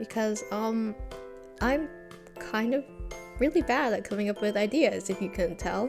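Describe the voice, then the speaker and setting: Over music in the background, a woman speaks at a moderate pace, her pitch swinging very widely, with long, frequent pauses. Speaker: hobby editing tutorial maker. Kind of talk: tutorial voiceover. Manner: casual, hesitant.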